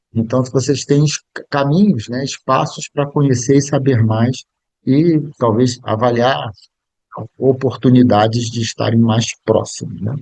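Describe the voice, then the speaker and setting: Here a man talks at a fairly slow pace. His pitch sits in the medium range and varies in an ordinary way. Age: 60s. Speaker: biographical counselor and speaker. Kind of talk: lecture. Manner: halting.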